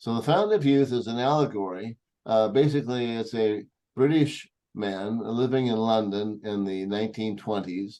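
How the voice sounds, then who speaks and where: With an American accent, a man speaks at a moderate pace in a dark, mellow tone. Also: medium pitch for a man, ordinary pitch variation. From US Pacific Northwest (Longview, Washington). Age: 70s. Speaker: energy healing teacher. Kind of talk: presentation to small group. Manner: hesitant, many fillers.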